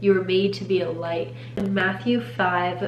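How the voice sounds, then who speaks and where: A woman speaks at a fairly slow pace in a fairly low pitch. Music plays in the background, and the room echo is audible. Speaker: faith-based content creator. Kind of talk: faith talk / devotional monologue.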